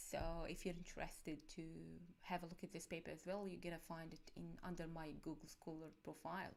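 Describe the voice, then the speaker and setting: A soft-spoken woman talks in a monotone, flat intonation with vocal fry. Audible room echo surrounds her voice. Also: fairly low pitch for a woman, fairly quick pace. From Egypt. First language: Arabic. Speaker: cybersecurity academic. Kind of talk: conference talk. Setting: live stream. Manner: halting. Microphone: external mic, too quiet.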